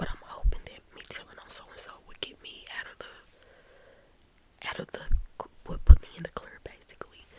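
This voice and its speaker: A whispering woman at a moderate pace, over noticeable background noise. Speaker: ASMR storyteller. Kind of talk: ASMR storytime. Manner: soft, whispered.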